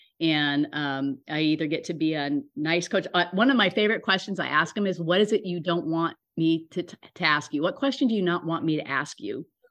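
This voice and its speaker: A woman with an unremarkable speaking voice talks at a fairly quick pace, her fairly low pitch carried by lively intonation. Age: 60s. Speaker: wellness coach. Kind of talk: casual interview.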